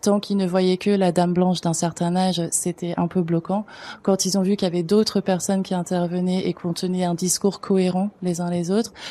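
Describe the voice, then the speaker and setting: With a dark, mellow tone and medium pitch, a woman speaks at a fairly quick pace in monotone, flat intonation. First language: not French (speaking French). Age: 40s. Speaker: arts education facilitator. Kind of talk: panel discussion. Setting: conference with audience.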